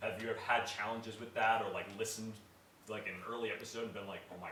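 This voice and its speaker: The speech comes at a very fast pace. Noticeable background noise and audible room echo surround it. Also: man. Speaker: audience member. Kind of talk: audience question.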